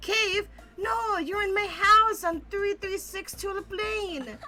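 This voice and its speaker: A woman puts on a squeaky character voice at a fairly slow pace. Clear music plays in the background. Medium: game stream. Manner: cheerful.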